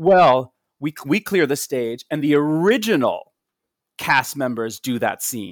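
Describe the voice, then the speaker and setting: A man with an unremarkable speaking voice talks at a fairly slow pace with lively intonation, the sound dry and close with no echo. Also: fairly high pitch for a man. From US Northeast, Long Island, New York. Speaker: Broadway actor and singer. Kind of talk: casual interview chat.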